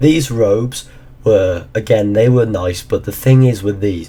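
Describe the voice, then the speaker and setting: At a moderate pace, a man talks with a dark, mellow tone that is somewhat breathy. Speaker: gaming YouTuber. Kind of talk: casual talk to camera.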